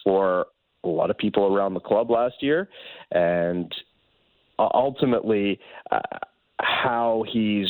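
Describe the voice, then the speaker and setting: At a fairly slow pace, a man speaks in an ordinary speaking voice, pitched fairly low with ordinary pitch variation. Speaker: baseball reporter. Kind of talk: interview. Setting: phone call.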